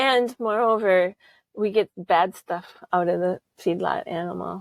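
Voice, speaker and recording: A plain, everyday voice from a woman at medium pitch, with an American accent and fairly even intonation, in a dry, close, echo-free and very clean recording against a silent background. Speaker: holistic management trainer. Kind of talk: interview.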